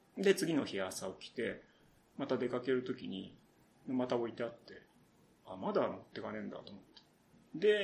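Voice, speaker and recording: This man's pitch is medium. It swings very widely as he speaks. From Saitama, Japan. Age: 30s. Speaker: radio writer and novelist. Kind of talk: solo podcast talk. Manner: casual, with frequent fillers and laughter. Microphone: poor sound quality.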